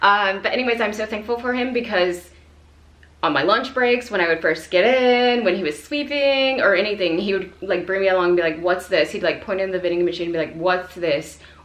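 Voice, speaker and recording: Lively intonation marks this woman's fairly quick speech at a medium pitch. Audible room echo fills the recording. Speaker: Navy veteran and language-learning vlogger. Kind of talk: casual vlog monologue. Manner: casual, filler-heavy.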